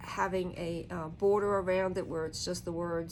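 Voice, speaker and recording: A woman at a medium pitch speaks in a relaxed tone at a moderate pace. Her intonation is fairly even, with audible room echo. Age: 60s. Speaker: tarot reader. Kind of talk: casual talk-through of a tarot reading. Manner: relaxed, hesitant with fillers.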